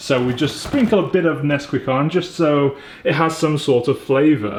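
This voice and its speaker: A man with a British accent speaks at a fairly high pitch and a moderate pace, his tone upbeat. Noticeable background noise runs behind him. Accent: British, drops his t's. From England. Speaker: entrepreneur and vlogger. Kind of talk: casual vlog talk to camera. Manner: chatty, upbeat.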